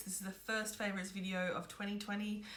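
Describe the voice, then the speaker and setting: Over noticeable background noise and audible room echo, a woman with an Australian accent talks very fast at a medium pitch. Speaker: beauty vlogger. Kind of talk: casual product review vlog.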